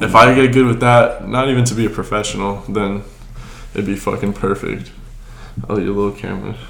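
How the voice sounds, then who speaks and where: Against noticeable background noise, a man with a fairly low voice and fairly even intonation talks at a fairly quick pace, broken by long, frequent pauses. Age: 20s. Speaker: podcast host. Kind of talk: casual chat.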